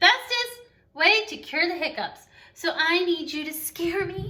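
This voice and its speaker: A woman puts on a squeaky character voice. Her pitch sits extremely high. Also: fairly slow pace. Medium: read story. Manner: chatty, breathless, interrupted by hiccup gasps.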